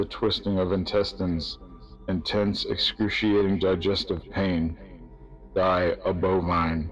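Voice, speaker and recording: Behind him, there is music. The man's speech is very slow. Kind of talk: spoken word reading of metal song lyrics.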